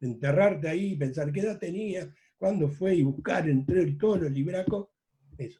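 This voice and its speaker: At a moderate pace, a man with a fairly high pitch speaks in a dark, mellow tone with ordinary pitch variation. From Uruguay, Rocha department (La Paloma). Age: 70s. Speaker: journalist. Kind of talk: interview. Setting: video call.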